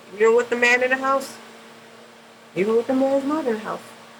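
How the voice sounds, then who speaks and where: A woman's fairly high voice against noticeable background noise. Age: 40s. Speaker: makeup artist. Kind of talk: tutorial. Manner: casual.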